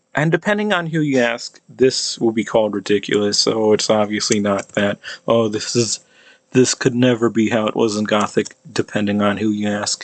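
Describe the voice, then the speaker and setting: Speaking with an American accent, a man talks at a moderate pace in a fairly low pitch, with a dry, close sound and no echo. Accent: American English with cot-caught merger. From United States. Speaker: amateur linguist / YouTuber. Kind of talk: pronunciation demonstration monologue. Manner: halting, many fillers and restarts.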